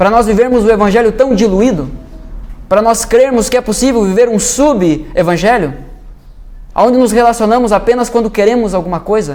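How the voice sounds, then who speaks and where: A high-pitched man speaks at a moderate pace with ordinary pitch variation and very even loudness. Noticeable background noise and audible room echo fill the recording. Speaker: pastor. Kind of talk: sermon. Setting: church.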